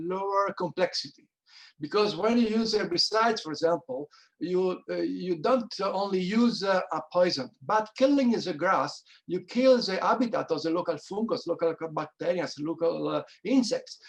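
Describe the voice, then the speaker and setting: A man's high voice in an Italian accent, at a moderate pace. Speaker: wine grower. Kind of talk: panel discussion. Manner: halting.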